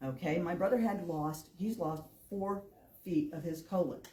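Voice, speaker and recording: In an American accent, a woman with fairly low pitch and a dark, mellow, somewhat breathy tone speaks at a moderate pace with ordinary pitch variation, with audible room echo. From northern Illinois, US Midwest. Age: 60s. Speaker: public commenter. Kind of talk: public comment at meeting.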